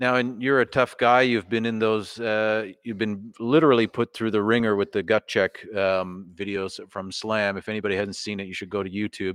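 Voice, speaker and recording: In a dry, close sound with no echo and a quiet background, a plain, everyday voice moves at a moderate pace with fairly even intonation and hardly any pauses. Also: man, fairly low pitch for a man. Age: 30s. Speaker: podcast host and wrestling trainee. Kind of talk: casual chat. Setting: wrestling training hall, live stream.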